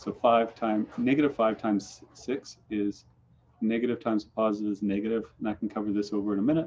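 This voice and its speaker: At a fairly quick pace, the speaker keeps a fairly even intonation. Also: man, fairly low pitch for a man. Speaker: math teacher. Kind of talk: online math lesson. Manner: fast.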